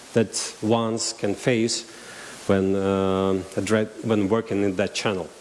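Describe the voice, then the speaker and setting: Fairly slow speech unfolds against noticeable background noise. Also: man. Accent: Russian. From Russian-speaking region. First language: Russian. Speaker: marketing agency director. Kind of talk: conference talk. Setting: stage with audience. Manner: halting.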